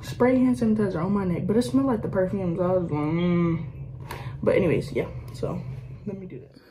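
A woman's fairly low voice at a fairly quick pace, with big swings in loudness, long, frequent pauses and noticeable background noise. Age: young. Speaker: vlogger. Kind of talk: casual talk to camera. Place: home room. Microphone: phone near.

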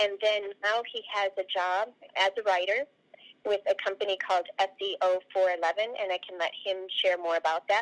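A woman with fairly even intonation at a fairly slow pace, over a quiet background. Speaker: remote interview guest. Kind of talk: interview answer. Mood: warm, proud. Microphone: video call.

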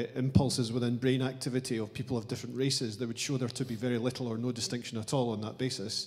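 A man talks at a very fast pace in a monotone, flat intonation. The background is quiet. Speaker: audience member. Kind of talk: audience question. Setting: lecture hall with audience. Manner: halting. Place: hall. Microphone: handheld.

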